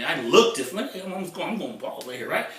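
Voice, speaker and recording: A man with a high voice speaks in a raised, projected, animated tone. The room has audible echo and noticeable background noise. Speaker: internet marketer. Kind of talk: vlog monologue.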